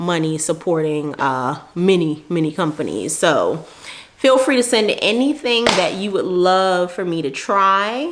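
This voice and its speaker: At a fairly slow pace, a woman with a medium pitch makes very wide pitch swings amid noticeable background noise. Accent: New York. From New York. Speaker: beauty and lifestyle vlogger. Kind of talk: casual vlog talk to camera. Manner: casual, chatty.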